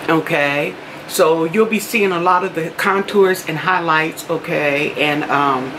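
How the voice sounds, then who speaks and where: With light background noise, a woman talks in a fairly low pitch with ordinary pitch variation. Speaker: beauty vlogger. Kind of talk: casual vlog chat. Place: home room. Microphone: phone near.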